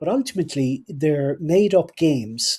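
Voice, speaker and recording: The voice has a Cork accent and a dark, mellow tone. Its pace is fairly slow. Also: man. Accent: Cork Irish. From Ireland, Cork. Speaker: podcast host. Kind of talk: casual chat. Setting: live stream.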